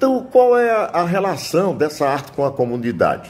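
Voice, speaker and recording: With a Paraíba accent, a man talks at a fairly slow pace, his pitch swinging very widely. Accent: Northeastern Brazilian (Paraíba). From Itabaiana, Paraíba, Brazil. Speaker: cordel poet. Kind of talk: interview answer.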